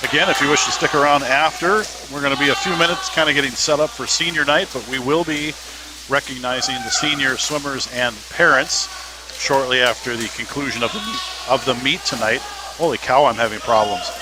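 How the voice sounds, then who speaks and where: The voice has an American accent. Music plays in the background. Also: man, fairly high pitch for a man, ordinary pitch variation, fairly quick pace. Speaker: sports announcer. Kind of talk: live commentary.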